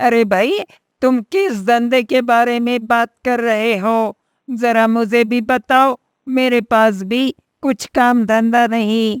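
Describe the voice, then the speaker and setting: A woman does a cartoonish character voice at a fairly high pitch. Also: fairly slow pace. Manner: eager, wheedling.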